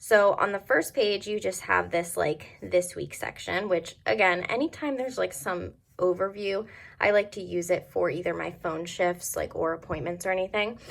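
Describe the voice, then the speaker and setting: Over a silent background in a very clean recording, a woman with an American accent speaks at a moderate pace, her fairly low voice showing vocal fry and ordinary pitch variation. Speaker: planner youtuber. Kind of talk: product review. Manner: casual, filler-heavy.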